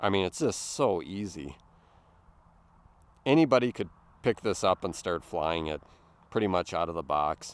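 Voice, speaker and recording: With a Midwestern accent and a very deep, low pitch, a man talks at a moderate pace in a relaxed, enthusiastic tone, with lively intonation and long, frequent pauses, recorded dry and close with no echo. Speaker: drone hobbyist YouTuber. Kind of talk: casual narrated flight vlog. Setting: outdoors at a lake park.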